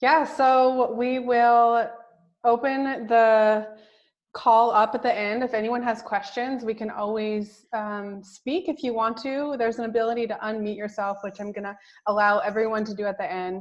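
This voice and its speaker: Speaking at a moderate pace with fairly even intonation, a woman uses a plain, everyday voice pitched fairly high. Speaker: co-host of online course. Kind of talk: online class announcements.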